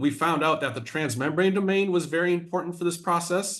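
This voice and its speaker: Audible room echo surrounds the speaker. He is a man with a high-pitched voice. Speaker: biology professor. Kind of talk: scientific seminar lecture. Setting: video call.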